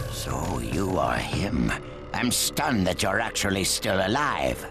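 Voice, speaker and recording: Loud music plays in the background. A man does a put-on character voice, very deep and low, at a fairly slow pace. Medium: short film. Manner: dry, cool.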